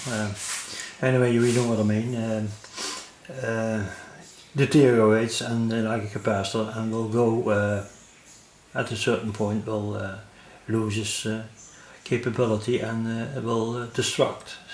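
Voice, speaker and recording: A man talks at a medium pitch in a monotone, flat way, leaving long, frequent pauses, with audible room echo and noticeable background noise. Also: moderate pace. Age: 70s. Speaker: electronics hobbyist. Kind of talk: tutorial. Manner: halting, many fillers.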